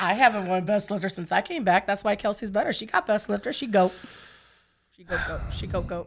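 On a very clean recording with a silent background, a woman at medium pitch speaks at a fairly quick pace, with ordinary pitch variation and big swings in loudness. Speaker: guest, strength athlete. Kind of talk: casual chat.

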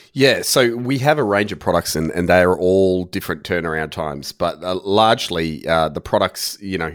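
With an Australian accent, a man speaks at a moderate pace in a very deep, low pitch, his pitch varying in an ordinary way on a very clean recording with a silent background. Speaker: virtual tour and rendering business owner, former builder. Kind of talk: interview.

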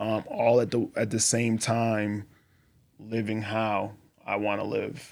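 A man with an American accent speaks at a medium pitch. He goes at a very slow pace with monotone, flat intonation. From Boston, Massachusetts. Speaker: army veteran and former cult member. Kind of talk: testimony. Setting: studio.

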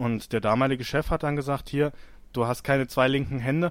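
An ordinary speaking voice at a moderate pace comes through on a very clean recording with a silent background. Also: man. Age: 30s. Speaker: scaffolder. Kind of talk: interview.

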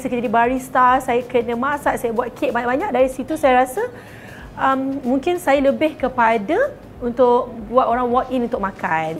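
At a moderate pace, a woman speaks in a high pitch with ordinary pitch variation over noticeable background noise. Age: 30s. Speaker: bakery business owner. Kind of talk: interview testimony. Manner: casual with English code-switching.

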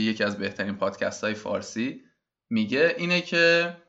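A man with a normal speaking voice at a moderate pace. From Iran. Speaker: podcast host. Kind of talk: solo podcast introduction.

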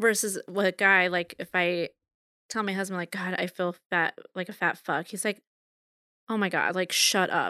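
Recorded very cleanly against a silent background, with a dry, close sound and no echo, a woman speaks at a moderate pace in a bright, sharp tone and monotone, flat intonation. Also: medium pitch for a woman. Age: 30s. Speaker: podcast guest. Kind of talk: casual chat.

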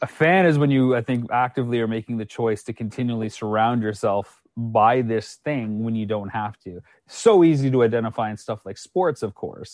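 A man with a Canadian accent has an unremarkable speaking voice at a medium pitch, with ordinary pitch variation. He talks at a moderate pace, with big swings in loudness. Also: hardly any pauses, quiet background. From Canada. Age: 30s. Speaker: documentary filmmaker. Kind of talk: casual interview chat.

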